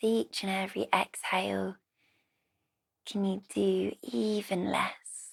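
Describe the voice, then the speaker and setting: A woman speaks in a British accent at a very slow pace. Her speech has long, frequent pauses. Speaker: yoga teacher. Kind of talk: guided relaxation.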